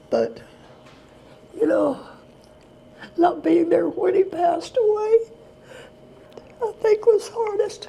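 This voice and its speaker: Through noticeable background noise, a woman with an American accent speaks at a very slow pace in an extremely high voice, with ordinary pitch variation and long, frequent pauses. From Texas. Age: 80s+. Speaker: retired special education teacher. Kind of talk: interview answer.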